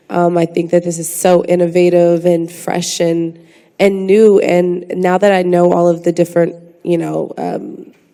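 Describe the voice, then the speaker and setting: Fairly low female speech with noticeable noise behind it. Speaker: actress and singer. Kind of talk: panel discussion.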